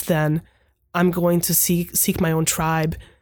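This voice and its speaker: In a very clean recording with a silent background, a woman with a Hungarian accent speaks at a fairly low pitch. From Hungary. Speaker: professor of pastoral theology. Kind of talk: interview, thoughtful conversation.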